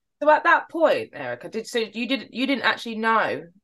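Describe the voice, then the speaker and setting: Against a quiet background, the voice carries vocal fry and a bright, sharp tone. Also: woman. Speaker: podcast host. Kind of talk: casual interview.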